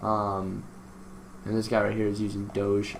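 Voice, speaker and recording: A man's fairly low-pitched voice amid noticeable background noise. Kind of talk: casual screen-recording tutorial talk. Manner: hesitant, stammering with many fillers.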